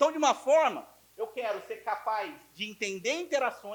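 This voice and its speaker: In an animated tone, a man speaks at an extremely high pitch. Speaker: physicist lecturer. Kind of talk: lecture. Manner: fast.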